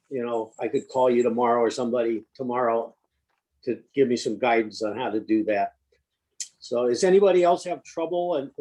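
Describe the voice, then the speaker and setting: Speaking at a moderate pace, a man has a dark, mellow tone and ordinary pitch variation. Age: 70s. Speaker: committee member. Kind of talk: committee meeting discussion. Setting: video call. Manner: halting.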